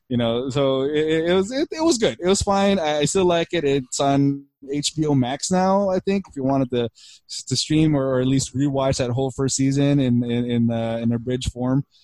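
This is an ordinary speaking voice from a man with a fairly high pitch and ordinary pitch variation. He keeps a moderate pace, and the sound is dry and close with no echo. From Philippines, then Burbank, California. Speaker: podcast co-host. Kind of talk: casual chat.

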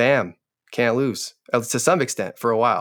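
Speaking with an American accent, a man with an unremarkable speaking voice talks at a fairly quick pace and a medium pitch with ordinary pitch variation, in a very clean recording with a silent background. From US Pacific Northwest (rural Oregon, near Portland). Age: 30s. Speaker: entrepreneur and business coach. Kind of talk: casual interview chat.

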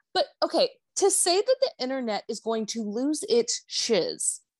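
A woman's voice with very wide pitch swings, in a dry, close sound with no echo. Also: quiet background. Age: 30s. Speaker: podcast guest, pop culture commentator. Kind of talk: casual chat. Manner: animated.

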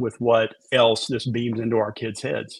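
A man with a Memphis accent, medium pitch and monotone, flat intonation at a moderate pace. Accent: Southern US (Memphis). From US South, Memphis, Tennessee. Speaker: former TV meteorologist and author. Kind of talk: casual interview.

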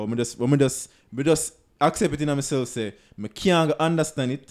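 A man talking at a fairly quick pace with ordinary pitch variation, music in the background. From Jamaica. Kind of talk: casual chat.

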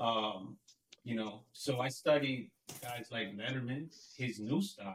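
This man has an unremarkable speaking voice. His pitch is medium, with ordinary pitch variation. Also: fairly slow pace. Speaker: podcast co-host. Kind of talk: casual conversation.

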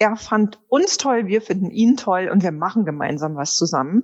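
Using a normal speaking voice, a woman talks at a fairly slow pace and a medium pitch. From Ruhr area, Germany (Wanne-Eickel). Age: 50s. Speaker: perfume brand founder. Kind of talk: interview.

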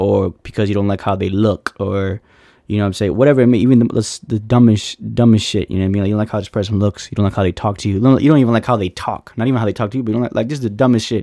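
At a very fast pace with hardly any pauses, a man speaks in a fairly low, dark and mellow voice with fairly even intonation. The sound is dry and close with no echo, against a quiet background. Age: 20s. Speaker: podcast host. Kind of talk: casual monologue. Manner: halting, many fillers.

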